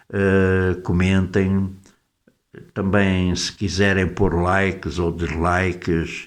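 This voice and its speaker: This man speaks with a very deep, low pitch. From Portugal. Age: 70s. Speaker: YouTuber, political commentator. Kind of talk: casual monologue to camera. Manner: hesitant, many fillers and repetitions.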